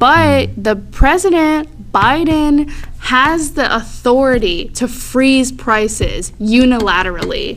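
In an American accent, a woman speaks very slowly at a high pitch with lively intonation and hardly any pauses. Noticeable background noise and audible room echo fill the recording. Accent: American, Americanized. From Florida, Tampa Bay area. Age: 20s. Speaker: community organizer. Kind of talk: casual chat.

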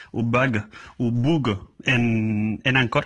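In a Madrid accent, a man speaks at medium pitch with fairly even intonation. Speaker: listener leaving a voice message. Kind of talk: recorded voice message.

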